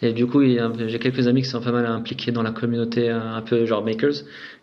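Audible room echo surrounds a man speaking at medium pitch. He moves at a fairly quick pace with fairly even intonation. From Morocco. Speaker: entrepreneur. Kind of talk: interview.

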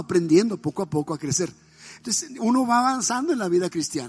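A man races along at a very fast pace, his pitch swinging very widely, with a quiet background. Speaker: pastor. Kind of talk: sermon.

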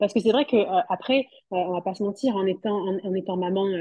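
A somewhat breathy woman's voice at medium pitch, moderate pace and ordinary pitch variation. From southwest France, Toulouse. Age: 30s. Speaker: fashion model and mother. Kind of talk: interview.

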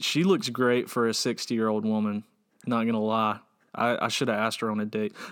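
With an American accent, a man has an unremarkable speaking voice at a medium pitch and a fairly quick pace. His intonation is fairly even, and the recording is very clean with a silent background. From US South, Georgia. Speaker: podcast co-host. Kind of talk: casual chat.

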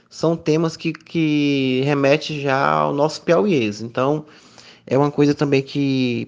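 A man with a fairly high pitch speaks very slowly, using ordinary pitch variation against a quiet background. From Piauí, Brazil (Miguel Alves). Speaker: visual artist and university professor. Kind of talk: interview. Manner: hesitant, frequent fillers.

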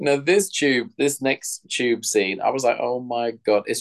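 A man talks with a London accent. The sound is dry and close, with no echo. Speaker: podcast co-host. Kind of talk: casual chat. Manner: animated.

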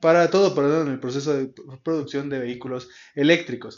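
Speaking with a central Mexican accent, a man has a fairly high pitch. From Mexico, Tulancingo, Hidalgo. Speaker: podcast host. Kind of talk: solo news commentary podcast. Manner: hesitant, many fillers and restarts.

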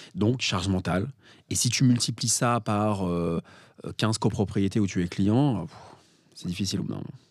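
A man speaks at a fairly slow pace in a fairly low voice, with ordinary pitch variation and long, frequent pauses. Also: very clean recording, silent background. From Paris, France. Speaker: parking investor and author. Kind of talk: podcast interview.

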